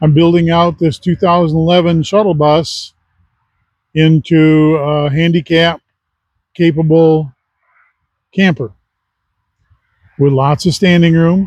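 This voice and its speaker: Very slowly and with long, frequent pauses, a man speaks in a Midwestern US accent at a fairly high pitch. His intonation is monotone and flat, and his loudness stays very even. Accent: US Midwest. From Michigan. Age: 70s. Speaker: retired army veteran vlogger. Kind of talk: casual monologue. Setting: outdoors.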